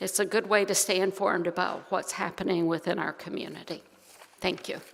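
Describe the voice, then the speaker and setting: A woman's medium-pitched, monotone, flat delivery at a fairly quick pace, with noticeable background noise. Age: 60s. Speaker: church board member. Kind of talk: welcome announcement at worship service. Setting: church service.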